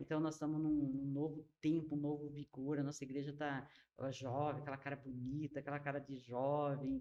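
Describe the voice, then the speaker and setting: A woman's very deep, low voice with a dark, mellow tone, monotone, flat intonation and a moderate pace. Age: 60s. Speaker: pastor. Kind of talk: casual chat.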